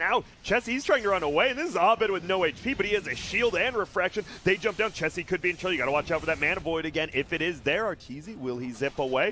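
Very fast, high-pitched speech from a man, with lively intonation, hardly any pauses and noticeable background noise. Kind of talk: esports play-by-play commentary on a live Dota match, with casual banter. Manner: animated, excitable, reacting with exclamations as fights unfold; quick, conversational, joking with co-casters.

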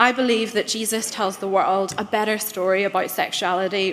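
A woman's voice is heard over light background noise. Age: 20s. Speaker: church synod lay member. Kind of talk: debate speech. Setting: church assembly chamber with audience. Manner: formal. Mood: earnest, impassioned. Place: hall. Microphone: podium.

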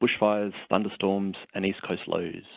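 A man speaks in a normal speaking voice with fairly low pitch at a moderate pace. The background is quiet and the sound is dry with no echo. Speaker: presenter. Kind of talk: lecture presentation. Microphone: phone line.

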